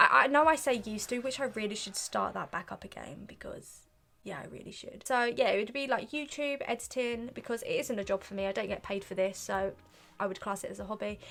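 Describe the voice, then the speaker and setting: A woman talks at a fairly quick pace in a London accent. Her loudness swings widely. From South London. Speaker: YouTuber, young mother. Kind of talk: casual chat to camera, Q&A. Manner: chatty, hesitant with fillers.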